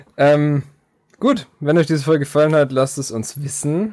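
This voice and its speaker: Here a man speaks at a fairly high pitch and a moderate pace. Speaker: podcast host. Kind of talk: casual chat.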